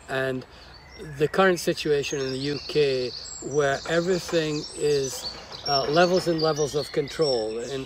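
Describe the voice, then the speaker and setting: Fairly even intonation from a fairly high-pitched man, with noticeable background noise. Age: 60s. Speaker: interviewer host. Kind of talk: interview. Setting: on location at a college in Devon countryside.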